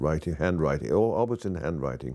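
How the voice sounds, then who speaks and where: In a British accent, a dark, mellow voice with vocal fry comes through on a very clean recording with a silent background. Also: man. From Wales and abroad, British schooling. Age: 70s. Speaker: author. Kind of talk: interview testimony.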